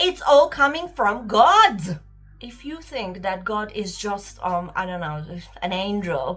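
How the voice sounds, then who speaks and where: Speaking very slowly with lively intonation, a woman with a non-native accent is heard over music in the background. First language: not English. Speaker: spiritual vlogger. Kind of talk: casual monologue vlog. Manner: unscripted, hesitant with fillers.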